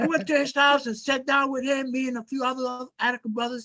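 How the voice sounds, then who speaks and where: Speaking fairly quickly, a man has an extremely high pitch and a bright, sharp tone with fairly even intonation. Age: 70s. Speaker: former prisoner, activist. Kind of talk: casual group discussion.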